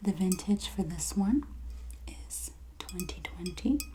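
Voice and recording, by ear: A woman whispers at a slow pace.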